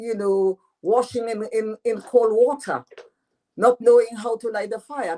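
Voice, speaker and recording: A speaker with a French accent talks at a moderate pace. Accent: French patois accent, still has it. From Dominica. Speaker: author. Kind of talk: radio interview.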